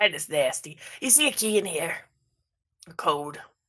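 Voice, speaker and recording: A raspy, put-on character voice at a moderate pace. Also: woman, fairly low pitch for a woman. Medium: actual play.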